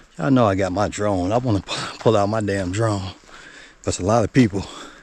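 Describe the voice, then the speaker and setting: A man speaks at a moderate pace in a fairly low voice with fairly even intonation, over noticeable background noise. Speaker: nature vlogger. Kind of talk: casual vlog narration. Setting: outdoors on hiking trail. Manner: quiet, near whisper.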